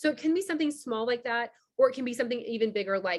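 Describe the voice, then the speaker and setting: Against a quiet background, a woman talks at a very fast pace with ordinary pitch variation. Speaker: business community founder. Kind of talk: online member orientation presentation. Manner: casual, filler-heavy.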